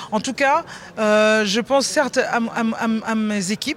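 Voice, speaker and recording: A woman speaks in a plain, everyday voice. Her pitch is fairly high and her intonation fairly even. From Benin. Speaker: chef. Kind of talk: interview. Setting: backstage at an awards ceremony.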